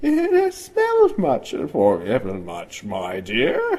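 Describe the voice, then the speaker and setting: A man uses a put-on character voice, speaking at a fairly slow pace. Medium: read story. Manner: soft, silky.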